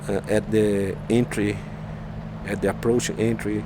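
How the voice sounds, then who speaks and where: A man speaks with a Brazilian accent against noticeable background noise. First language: Portuguese. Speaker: flight simulator YouTuber. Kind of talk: gameplay tutorial. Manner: halting.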